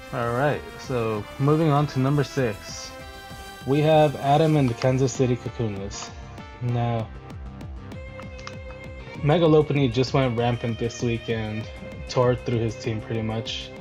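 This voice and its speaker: A man speaks at medium pitch and a fairly slow pace, with ordinary pitch variation, long and frequent pauses, and music playing in the background. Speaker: Pokémon league analyst. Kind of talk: casual commentary to viewers.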